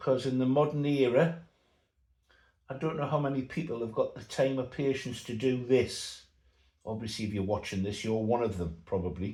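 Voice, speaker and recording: A man's somewhat breathy voice, dark and mellow in tone, sits at medium pitch and moves at a moderate pace with ordinary pitch variation. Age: 60s. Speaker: model aircraft builder. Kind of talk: tutorial. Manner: casual.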